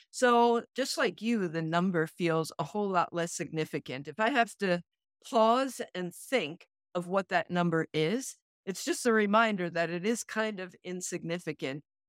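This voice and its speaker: A woman with an ordinary speaking voice talks at a moderate pace and medium pitch, her intonation lively, on a very clean recording with a silent background. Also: dry, close sound with no echo. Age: 60s. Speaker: podcast co-host, retreat facilitator. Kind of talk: casual chat.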